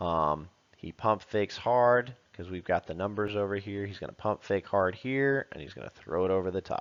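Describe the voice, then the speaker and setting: A man speaks at a moderate pace in fairly low pitch, with ordinary pitch variation and an unremarkable speaking voice. Hardly any pauses break his delivery, loudness swings widely, and the sound is dry and close with no echo over a quiet background. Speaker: football coach. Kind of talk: tutorial.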